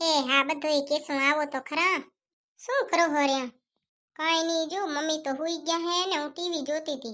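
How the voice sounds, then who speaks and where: Over a very clean recording with a silent background, a woman does a squeaky, high-pitched cartoonish character voice at a moderate pace. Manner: easygoing, chatty.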